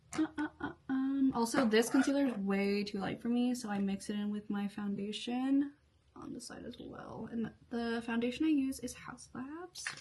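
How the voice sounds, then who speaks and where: A woman with a high pitch at a moderate pace, amid noticeable background noise. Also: ordinary pitch variation. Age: 20s. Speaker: beauty and lifestyle vlogger. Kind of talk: casual chat while doing makeup. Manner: halting, many fillers.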